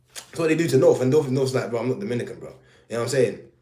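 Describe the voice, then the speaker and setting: A man speaks with audible room echo. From Jamaica. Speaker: live streamer. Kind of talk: casual live stream chat. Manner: animated.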